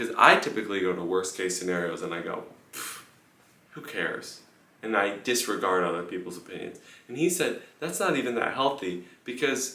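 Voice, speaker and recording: A man speaks at a moderate pace. Some room echo can be heard. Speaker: pianist. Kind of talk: casual vlog monologue. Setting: room in a house on tour. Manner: lowered voice, quiet.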